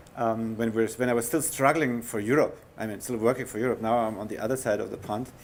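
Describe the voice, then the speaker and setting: A man with a German accent speaks at a fairly quick pace with fairly even intonation. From Germany, Bavaria. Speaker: heritage conservation scientist. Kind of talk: lecture. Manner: halting.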